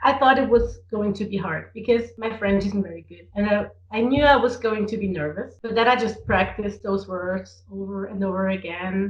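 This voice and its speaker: Somewhat breathy, a woman talks with hardly any pauses, ordinary pitch variation and big swings in loudness. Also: medium pitch for a woman, moderate pace. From Switzerland, Zurich (German-speaking). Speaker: drag performer. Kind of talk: interview. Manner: halting with repetitions.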